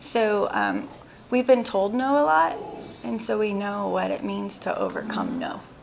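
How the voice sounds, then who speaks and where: A woman with an American accent speaks at a fairly slow pace. There is audible room echo and noticeable background noise. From Texas, Houston. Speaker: insurance agency owner. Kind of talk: interview.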